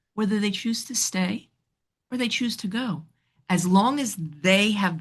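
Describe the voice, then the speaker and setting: A woman speaks with a slight New York accent and lively intonation. Her voice is somewhat breathy. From New York City. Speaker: relationship counselor. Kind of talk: podcast interview. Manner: animated.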